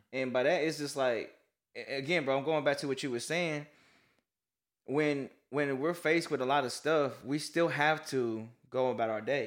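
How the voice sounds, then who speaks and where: In a very clean recording with a silent background, a man with a plain, everyday voice and fairly high pitch talks at a moderate pace with fairly even intonation. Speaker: co-host. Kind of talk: casual faith-based podcast discussion.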